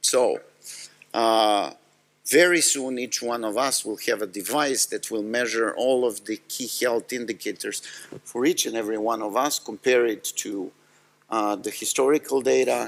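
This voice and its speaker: This speaker talks at a moderate pace with a Serbian accent and fairly even intonation. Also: man, medium pitch for a man. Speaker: tech company executive. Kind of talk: conference talk.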